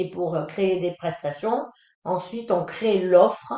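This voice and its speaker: A woman is speaking. Her pitch moves in an ordinary way. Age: 60s. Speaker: independent phone secretary and trainer. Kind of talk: webinar presentation. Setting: online webinar. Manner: hesitant, many fillers.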